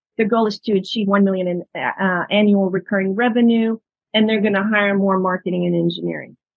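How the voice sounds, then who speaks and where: She has a plain, everyday voice at a medium pitch. The woman talks at a fairly quick pace with fairly even intonation. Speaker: startup investment specialist. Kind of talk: webinar presentation. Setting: video webinar.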